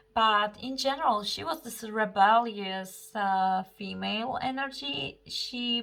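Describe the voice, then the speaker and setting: A bright, sharp tone at a very slow pace with ordinary pitch variation. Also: woman. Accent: non-native. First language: not English. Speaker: astrologer and tarot reader. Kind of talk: astrology forecast monologue. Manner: halting, many fillers.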